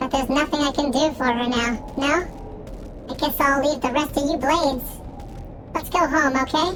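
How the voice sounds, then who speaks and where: This is a put-on character voice with a high pitch at a moderate pace. Loud background noise is present. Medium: game stream. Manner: ends sentences with tag questions.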